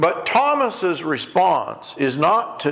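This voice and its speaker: A man is heard over noticeable background noise. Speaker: preacher, ministry director. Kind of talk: sermon.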